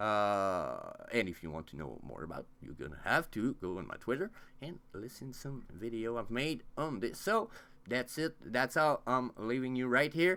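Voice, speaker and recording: With a non-native accent, a man talks at a moderate pace in a bright, sharp tone, his medium pitch moving in very wide swings and his loudness rising and falling sharply. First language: not English. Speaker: crypto YouTuber. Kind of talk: casual vlog monologue. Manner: halting, many fillers.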